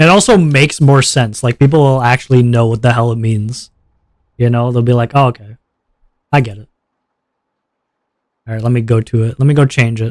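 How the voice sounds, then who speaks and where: In a dry, close recording with no echo, a man speaks at a medium pitch and a fairly quick pace, with fairly even intonation and long, frequent pauses. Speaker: VTuber streamer. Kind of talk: live stream gaming chat. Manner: loud.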